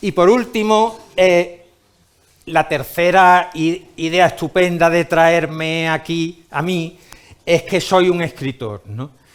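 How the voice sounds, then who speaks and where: A man talks in a high voice with ordinary pitch variation. His pace is very slow. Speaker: writer and conference speaker. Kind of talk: lecture. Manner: halting, with repetitions and fillers.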